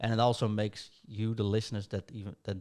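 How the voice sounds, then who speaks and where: A man with a Dutch accent speaks at a fairly quick pace and a fairly low pitch, in a monotone, flat intonation. The recording is very clean, with a silent background. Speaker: podcast host. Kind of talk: casual podcast chat.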